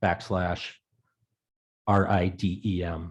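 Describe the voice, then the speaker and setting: In a Rhode Island accent, a man speaks at a very slow pace with a dark, mellow tone over a quiet background. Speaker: town councilor. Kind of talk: council meeting.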